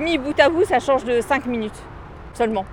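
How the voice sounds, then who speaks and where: A high-pitched woman speaks fairly quickly with ordinary pitch variation as noticeable background noise carries on. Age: 40s. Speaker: cyclist commuter. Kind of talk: street interview. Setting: outdoors.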